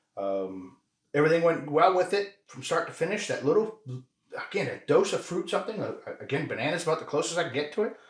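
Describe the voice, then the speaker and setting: A man talks loudly at a very fast pace. His pitch is high, with ordinary pitch variation. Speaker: whiskey review podcast co-host. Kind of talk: casual tasting chat. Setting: home whiskey room.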